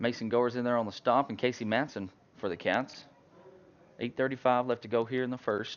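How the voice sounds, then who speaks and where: A man with an Arkansas accent talks at a fairly quick pace and medium pitch. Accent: US Southern (Arkansas). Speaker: high school football play-by-play announcer. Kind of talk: live commentary. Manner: loud.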